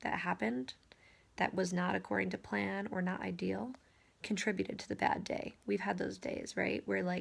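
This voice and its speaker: A soft-spoken woman talks at a moderate pace. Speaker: real estate agent. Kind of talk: casual vlog monologue.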